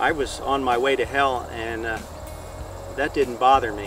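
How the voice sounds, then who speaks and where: A man at a moderate pace, with a dry sound free of echo and noticeable background noise. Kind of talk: personal testimony interview. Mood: earnest, reflective. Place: open country.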